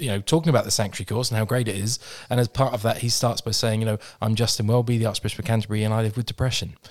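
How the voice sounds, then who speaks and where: Talking at a very fast pace, a man with a British accent keeps a medium pitch and fairly even intonation. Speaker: mental health organization leader. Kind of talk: interview conversation. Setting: studio.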